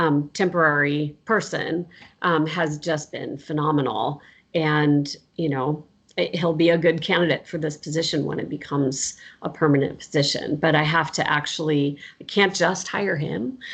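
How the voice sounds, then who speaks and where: A woman speaks with an American accent at a very deep, low pitch, with fairly even intonation and a moderate pace. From US Southwest. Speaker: professor. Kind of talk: casual interview chat.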